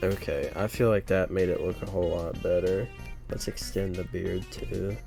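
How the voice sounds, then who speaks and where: Music plays in the background as the speaker talks in a relaxed tone at a moderate pace. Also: man. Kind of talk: casual drawing commentary. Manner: relaxed, casual.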